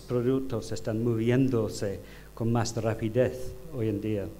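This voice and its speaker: Audible room echo surrounds a man speaking very slowly with an English accent. His medium pitch follows fairly even intonation. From United Kingdom. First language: English (speaking Spanish). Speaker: design professor. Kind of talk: conference lecture. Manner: halting, many fillers.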